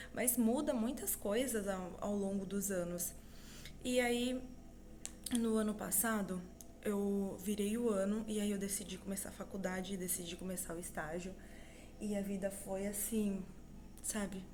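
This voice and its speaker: A soft-spoken woman at a fairly slow pace with fairly even intonation and long, frequent pauses, amid noticeable background noise and audible room echo. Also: medium pitch for a woman. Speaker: vlogger, mother and student. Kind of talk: casual vlog monologue. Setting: at home.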